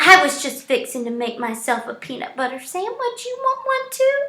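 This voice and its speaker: A woman puts on a character voice, pitched extremely high, swinging very widely up and down. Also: moderate pace. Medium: read story. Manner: folksy, warm.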